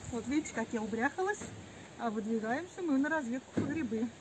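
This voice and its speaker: The woman's moderate pace holds steady beneath loud background noise. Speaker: mushroom walk vlogger. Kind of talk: casual vlog chat. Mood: cheerful, chatty. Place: forest.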